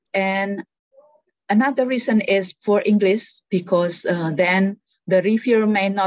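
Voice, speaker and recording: In an Indonesian accent, a woman talks fairly slowly at medium pitch with ordinary pitch variation, the sound dry and close with no echo. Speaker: researcher and policy analyst. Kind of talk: workshop presentation. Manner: hesitant, many fillers.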